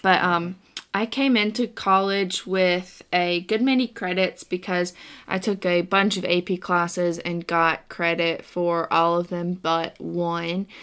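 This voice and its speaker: A woman with an unremarkable speaking voice talks at a fairly slow pace and a fairly low pitch, her intonation fairly even. The recording is very clean, with a silent background. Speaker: podcast co-host, college student. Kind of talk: casual chat.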